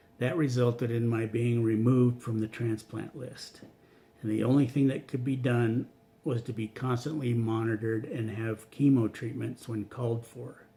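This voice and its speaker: A man's somewhat breathy, medium-pitched voice with a dark, mellow tone and monotone, flat intonation. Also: moderate pace. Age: 60s. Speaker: cancer patient. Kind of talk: reading aloud; testimony.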